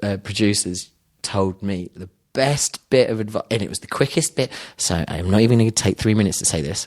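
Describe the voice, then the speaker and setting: A man with a British accent talks at a very fast pace and a fairly low pitch, with ordinary pitch variation. His loudness swings widely, and the sound is dry and close with no echo. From London, England. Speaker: filmmaker. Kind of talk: casual chat.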